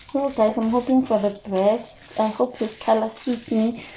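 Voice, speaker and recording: Speaking at a fairly slow pace, a woman with a South African accent uses a fairly high pitch. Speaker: vlogger. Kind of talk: casual vlog. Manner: animated.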